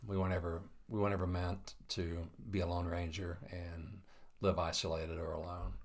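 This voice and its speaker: Intonation stays monotone and flat in a somewhat breathy voice. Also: man, very deep, low pitch for a man, moderate pace. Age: 50s. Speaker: interviewer, coffee company leader. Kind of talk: casual interview.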